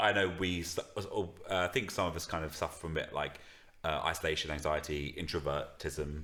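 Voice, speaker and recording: A man speaks with a very deep, low pitch and a bright, sharp tone. His intonation stays fairly even. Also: fairly quick pace. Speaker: musician and podcast co-host. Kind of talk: casual chat. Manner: mumbling; fast.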